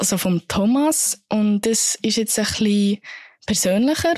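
Her voice is fairly high and somewhat breathy, moving at a fairly slow pace. The woman's sound is dry and close, with no echo. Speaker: podcast co-host. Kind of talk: casual chat.

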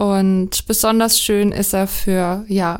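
The voice belongs to a woman. She talks at a medium pitch. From Lower Franconia. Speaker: podcast host, editor. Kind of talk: casual chat.

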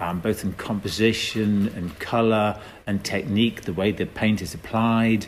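A man with an English accent, fairly low in pitch, at a moderate pace and with fairly even intonation. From England. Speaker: artist. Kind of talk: interview. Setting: museum. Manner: hesitant, many fillers.

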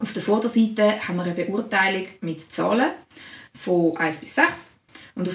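Here is a woman with an unremarkable speaking voice. She has a medium pitch, ordinary pitch variation, and a moderate pace. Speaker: secondary school teacher. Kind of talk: casual chat.

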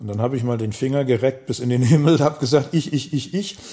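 The speaker is a man with a Hamburg accent. His pitch is medium. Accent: Hamburg accent, clearly audible. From Hamburg (Volksdorf), northern Germany. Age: 60s. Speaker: pub owner and local web platform founder. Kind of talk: casual interview.

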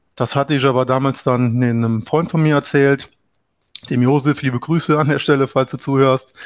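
Medium-pitched male voice, a normal speaking voice with fairly even intonation, moderate pace and a dry, close sound with no echo. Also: quiet background. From Trier area, Rhineland-Palatinate, Germany. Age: 30s. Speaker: landlord, property investor. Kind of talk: interview.

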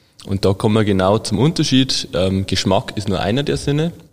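At a moderate pace, a man speaks with ordinary pitch variation in an ordinary speaking voice. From Bavarian Forest, Bavaria. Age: 20s. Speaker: food chemist and sensory lab head. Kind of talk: casual interview.

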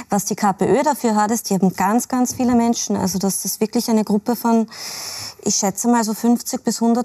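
A woman speaks at a moderate pace in a fairly high pitch, with a dark, mellow tone and fairly even intonation. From Austria, Salzburg area. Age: 30s. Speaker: labour market expert and author. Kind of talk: TV panel discussion.

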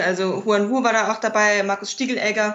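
Over noticeable background noise, a woman with a fairly high voice talks at a moderate pace, her intonation fairly even. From Mainz, Germany. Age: 20s. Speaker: film scholar, festival organizer. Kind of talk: casual interview chat.

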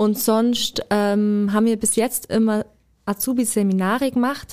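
This woman has a fairly high pitch with a dark, mellow tone. Her delivery is flat and monotone at a fairly slow pace. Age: 20s (24). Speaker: apprentice trainer. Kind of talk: interview.

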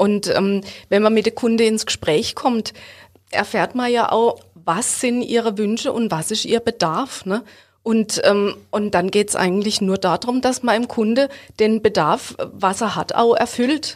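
In a plain, everyday voice, a woman speaks at a fairly slow pace, her pitch fairly high with ordinary pitch variation. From Baden, Ortenau (Hofweier). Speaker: bank advisor. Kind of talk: podcast interview.

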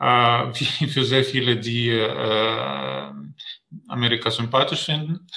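A man talks at a very slow pace and medium pitch with lively intonation. Audible room echo is present. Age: 50s. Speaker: diplomat. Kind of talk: interview. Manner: halting, many fillers.

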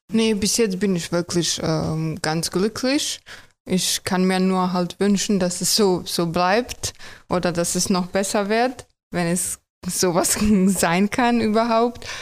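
A woman's medium-pitched voice with a Croatian accent, very slow in pace, very even in loudness, with ordinary pitch variation. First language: Croatian (speaking German). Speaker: tram driver. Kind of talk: casual interview. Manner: hesitant with many fillers.

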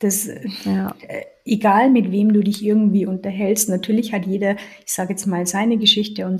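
This woman speaks at a moderate pace with medium pitch. Her intonation stays fairly even. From Lower Bavaria, Germany. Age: 40s. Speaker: health podcast co-host, accountant. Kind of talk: casual chat.

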